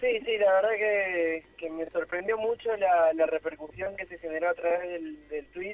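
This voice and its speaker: Noticeable background noise accompanies a man with a high pitch who talks at a moderate pace with ordinary pitch variation. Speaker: lawyer, amateur footballer. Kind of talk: phone interview.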